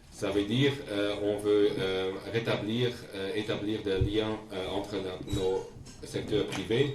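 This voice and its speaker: A man with a Dutch accent talks at a fairly low pitch. Noticeable background noise and audible room echo are present. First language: Dutch (speaking French). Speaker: diplomat. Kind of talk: formal speech to community. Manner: halting, many hesitations.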